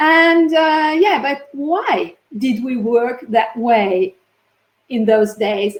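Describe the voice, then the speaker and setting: A woman with an Italian accent speaks at a very slow pace in a high pitch with lively intonation. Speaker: neuroscientist and linguist. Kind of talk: conference talk.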